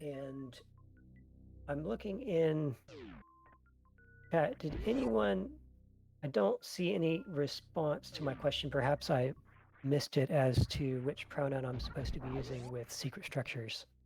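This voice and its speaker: Music plays in the background as a man with a fairly high pitch and ordinary pitch variation speaks at a fairly slow pace, leaving long, frequent pauses. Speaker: speedrun event commentator. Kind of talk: live commentary. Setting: live stream.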